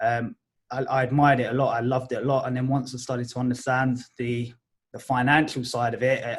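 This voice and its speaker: A man at medium pitch speaks very fast in a monotone, flat intonation. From Essex, England. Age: 20s. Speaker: art agent. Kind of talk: podcast interview.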